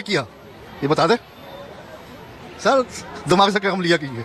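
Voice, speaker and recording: With noticeable background noise behind him, a man talks in an animated tone with lively intonation. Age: 70s. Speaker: interviewee in street interview. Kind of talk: heated debate.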